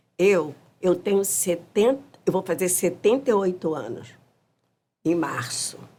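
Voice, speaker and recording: A woman's dark, mellow voice at medium pitch, fairly slow, with long, frequent pauses. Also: lively intonation. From Brazil, Rio de Janeiro (Mangueira). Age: 70s. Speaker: samba school elder musician. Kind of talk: podcast interview. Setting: studio.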